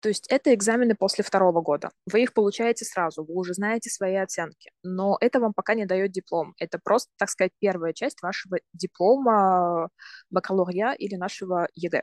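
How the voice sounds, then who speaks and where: A woman with an ordinary speaking voice talks fairly quickly at a medium pitch with ordinary pitch variation, in a dry, close sound with no echo. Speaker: university student. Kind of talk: interview.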